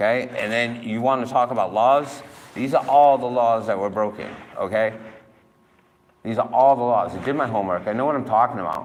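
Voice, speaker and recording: With a Massachusetts accent, a man speaks fairly quickly at a medium pitch. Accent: New England (Massachusetts). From Massachusetts, New Bedford. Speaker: citizen filing a police complaint. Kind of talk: heated complaint at police station. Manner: animated.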